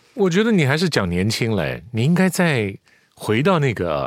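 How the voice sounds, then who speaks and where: Speaking at a fairly quick pace, the man uses a medium pitch that swings very widely. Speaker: veteran voice actor. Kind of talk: casual chat.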